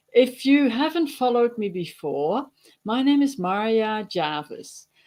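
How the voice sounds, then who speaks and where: Speaking with a Dutch accent, a woman uses a fairly high pitch with very wide pitch swings. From Netherlands. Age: 60s. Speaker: digital marketer and farmer. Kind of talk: webinar presentation. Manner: casual with fillers.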